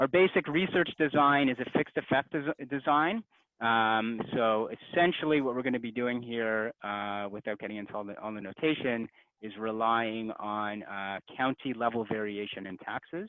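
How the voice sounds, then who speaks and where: Here a man talks at a medium pitch with ordinary pitch variation. His loudness swings widely. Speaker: economics researcher presenting a paper. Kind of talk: academic conference talk. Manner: fast.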